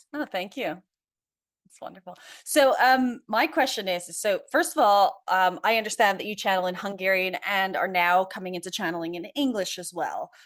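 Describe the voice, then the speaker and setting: On a very clean recording with a silent background, a woman with a plain, everyday voice speaks at a moderate pace in a medium pitch, with lively intonation and big swings in loudness. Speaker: podcast host and life coach. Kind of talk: interview.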